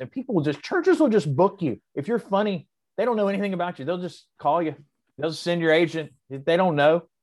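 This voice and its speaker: A man in a normal speaking voice with an American accent talks with a fairly high pitch and lively intonation against a quiet background. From US South. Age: 40s. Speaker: comedian. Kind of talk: casual chat.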